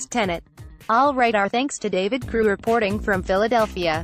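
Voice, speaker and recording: A woman keeps up a fairly quick pace while music plays behind her. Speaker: news anchor. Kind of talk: TV news anchor broadcast.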